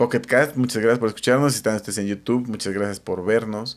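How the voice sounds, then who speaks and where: Talking at a fairly quick pace, a man with a Mexican accent has a medium pitch, fairly even intonation and vocal fry. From Mexico. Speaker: podcast co-host. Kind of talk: show outro thanks; casual chat. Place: home room. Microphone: studio mic.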